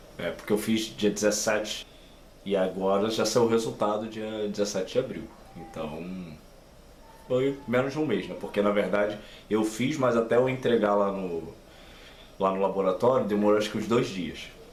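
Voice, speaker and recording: Long, frequent pauses break up speech with ordinary pitch variation and audible room echo. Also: man, fairly low pitch for a man, moderate pace. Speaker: YouTuber. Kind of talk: casual vlog talk. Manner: halting, many fillers.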